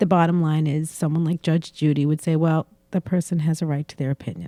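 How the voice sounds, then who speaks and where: A woman speaks at a moderate pace with a very deep, low pitch and a dark, mellow tone. Her intonation stays fairly even, and the sound is dry and close with no echo. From Boston. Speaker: salon owner and podcast host. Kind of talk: casual chat. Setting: studio.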